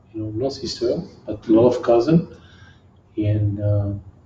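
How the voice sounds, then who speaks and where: A strong French accent comes through in a somewhat breathy, dark, mellow tone with audible room echo. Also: man, long, frequent pauses. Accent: heavy French. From southern France, near Marseille. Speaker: kickboxing champion. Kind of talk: interview. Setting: gym.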